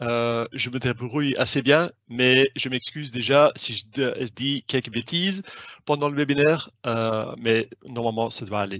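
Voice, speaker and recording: At a fairly slow pace, a man with a non-native accent speaks at a medium pitch with ordinary pitch variation. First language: not French (speaking French). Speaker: sales manager. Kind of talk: webinar presentation. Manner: hesitant, many fillers.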